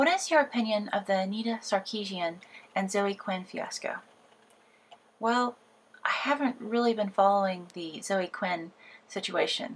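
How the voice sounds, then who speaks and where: A somewhat breathy voice with an American accent, at a moderate pace, with ordinary pitch variation and long, frequent pauses. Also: woman, medium pitch for a woman. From US South, Appalachia. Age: 30s. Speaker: YouTuber. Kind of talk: Q&A vlog answering viewer questions.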